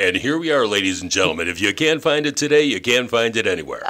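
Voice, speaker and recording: A man puts on a raspy character voice at medium pitch, rattling along at a very fast pace. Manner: smooth, pillow-talk.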